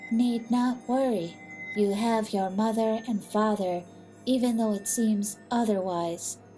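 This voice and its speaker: A woman puts on a character voice with a fairly high pitch. She speaks at a fairly slow pace while music plays clearly in the background. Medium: read story. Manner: calm, formal.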